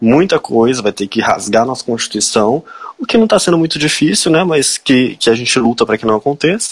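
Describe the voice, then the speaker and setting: Fairly quick and lively in intonation, a man with an unremarkable speaking voice is heard in a dry, close sound with no echo. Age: 20s. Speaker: political candidate, law student. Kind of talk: interview.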